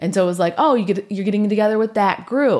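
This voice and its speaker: A woman speaks at a medium pitch with vocal fry. The recording is very clean, with a silent background. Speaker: podcast host. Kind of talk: casual chat.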